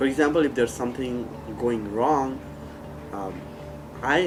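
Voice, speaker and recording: A man with a non-native accent, medium pitch and moderate pace, over noticeable background noise. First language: not English. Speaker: former student and peer mentor. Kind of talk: testimonial interview.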